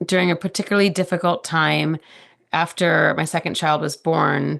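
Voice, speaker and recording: Her voice sits at a fairly low pitch and carries vocal fry. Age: 40s. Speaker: podcast guest sharing personal story. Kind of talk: conversational interview.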